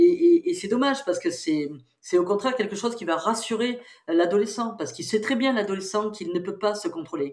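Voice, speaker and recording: A woman talks at a fairly quick pace with a fairly high pitch. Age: 60s. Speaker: psychologist and researcher. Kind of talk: interview.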